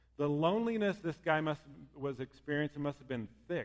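This is a male speaker with an American accent. The way he intones is lively. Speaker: pastor. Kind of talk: sermon.

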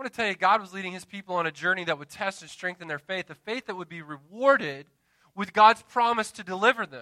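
A man talks at a fairly quick pace with very wide pitch swings. His tone is bright and sharp, and the sound is dry and close with no echo. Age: 30s. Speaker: pastor. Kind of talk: Sunday-morning sermon, conversational evangelical preaching with call-and-response amens. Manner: earnest, building exhortation with repeated punchy refrains; relaxed and chatty, with filler words and self-deprecating asides.

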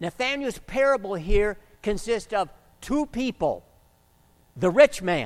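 Loud and at a fairly slow pace, the speaker uses lively intonation and long, frequent pauses. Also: man, high pitch for a man. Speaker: preacher. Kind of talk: sermon.

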